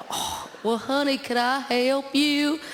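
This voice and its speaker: A put-on character voice, high-pitched and drawling, at a fairly slow pace over clear background noise. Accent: Southern US. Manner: slow, drawled, sweetly polite.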